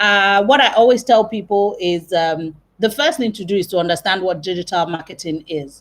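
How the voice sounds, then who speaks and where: A normal speaking voice at a moderate pace, with hardly any pauses and ordinary pitch variation. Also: woman, medium pitch for a woman. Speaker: marketing trainer. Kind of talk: webinar lecture. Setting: live video stream from work.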